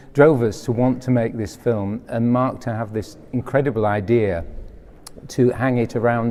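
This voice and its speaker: A man speaks with a Yorkshire accent. His voice has a medium pitch and a dark, mellow tone. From West Yorkshire, Bradford. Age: 60s. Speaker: film producer. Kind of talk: interview. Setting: film festival event.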